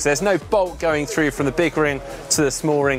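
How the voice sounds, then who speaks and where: Clear music plays behind a man whose pitch varies in an ordinary way, the sound dry with no echo. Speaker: presenter. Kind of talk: product walkthrough commentary. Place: tent. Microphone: lapel.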